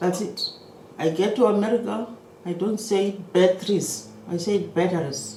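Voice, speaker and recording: A woman with an African accent, medium pitch and ordinary pitch variation, speaking at a very slow pace amid audible room echo. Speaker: maritime economics lecturer. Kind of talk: lecture.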